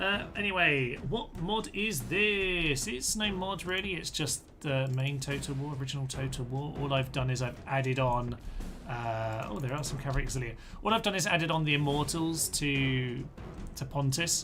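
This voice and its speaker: A man at a moderate pace with lively intonation, music in the background and audible room echo. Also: fairly high pitch for a man. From England. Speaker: video game streamer. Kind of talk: live gameplay commentary. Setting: livestream from a relative's computer. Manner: animated.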